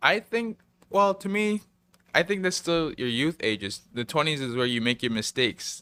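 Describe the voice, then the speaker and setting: A man with a Hawaiian accent, fairly high in pitch, with a bright, sharp tone, very wide pitch swings and a moderate pace, in a dry, close sound with no echo. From Hawaii, Waianae. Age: 20s. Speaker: student and esports player. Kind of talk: casual chat.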